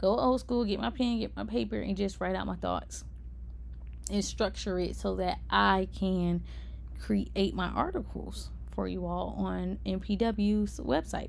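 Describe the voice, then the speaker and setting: A woman's voice with audible room echo. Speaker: podcast host. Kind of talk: solo podcast monologue. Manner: casual, conversational.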